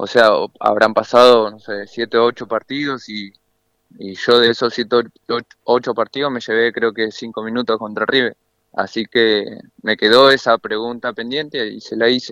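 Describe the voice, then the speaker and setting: A man talks at a moderate pace, his pitch medium. His intonation stays monotone and flat. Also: big swings in loudness. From Argentina, Buenos Aires area (Solano). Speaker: professional footballer. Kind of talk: radio interview. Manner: halting, repeats words.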